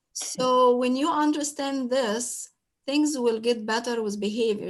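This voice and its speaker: Speaking at a fairly slow pace, a woman with a non-native accent has a high pitch and ordinary pitch variation. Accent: foreign. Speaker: special education teacher. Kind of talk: panel talk sharing experiences. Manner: halting, many fillers.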